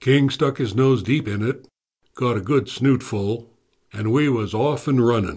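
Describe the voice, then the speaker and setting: At a fairly slow pace and in a relaxed tone, a man with an American accent speaks at a medium pitch, his somewhat breathy voice showing ordinary pitch variation. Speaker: audiobook narrator playing a retired lawman. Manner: gruff drawling storyteller, dry and wry, with slow, relaxed cowboy-style delivery; colloquial, folksy and a bit menacing when voicing the lawman's warnings to the suspect.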